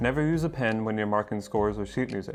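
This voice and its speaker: A man speaks at a very fast pace with music in the background. His pitch is medium, with ordinary variation. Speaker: percussionist and percussion educator. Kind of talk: instructional talk to camera. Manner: slightly uneven, adapting to talking.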